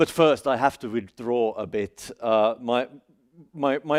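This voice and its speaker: A man with a Finland Swedish accent is heard in a dry, close sound with no echo on a very clean recording with a silent background. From Finland (Swedish-speaking, Helsinki). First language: Swedish (Finland Swedish). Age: 40s. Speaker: academic speaker. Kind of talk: seminar talk. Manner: halting, many fillers and restarts.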